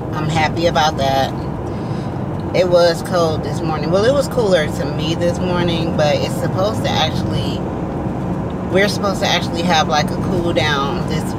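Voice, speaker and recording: Loud background noise surrounds a woman speaking. She talks at a fairly slow pace with ordinary pitch variation. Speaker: delivery driver vlogger. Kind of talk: casual vlog chat. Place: car. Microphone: phone near.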